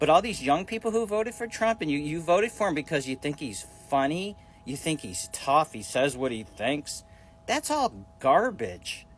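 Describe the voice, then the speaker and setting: A man talks at a moderate tempo, his pitch swinging very widely, while music sounds behind him. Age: 60s. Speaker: social media commentator. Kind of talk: casual vlog rant. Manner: halting, repetitive.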